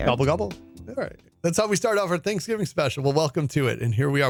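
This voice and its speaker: An animated man, fairly high-pitched with very wide pitch swings, over music in the background. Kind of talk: radio show banter, storytelling. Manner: jokey, animated.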